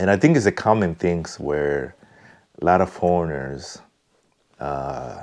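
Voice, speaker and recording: A man with a Congolese accent speaks in a very deep, low pitch at a fairly slow pace. His speech has long, frequent pauses. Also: ordinary pitch variation. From Congo (DR Congo). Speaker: vlogger. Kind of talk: personal reflection monologue. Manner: halting, many fillers.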